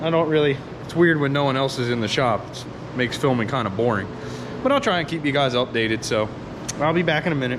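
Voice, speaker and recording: Amid noticeable background noise and audible room echo, a man talks at a very fast pace. His pitch is fairly high, with ordinary pitch variation. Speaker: car mechanic vlogger. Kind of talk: casual vlog talk. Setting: workshop garage. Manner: casual, filler-heavy.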